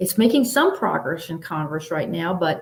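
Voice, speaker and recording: With lively intonation, a woman speaks at a moderate pace. Her voice is somewhat breathy. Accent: American. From Baltimore, US. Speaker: author. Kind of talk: panel discussion answer.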